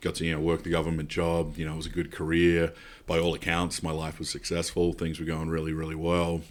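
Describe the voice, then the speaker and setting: A man talks very fast in an Australian accent, his pitch very deep and low. His intonation is monotone and flat, and the recording is very clean with a silent background. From South Australia. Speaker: pastor. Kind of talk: interview testimony. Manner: casual, with frequent fillers.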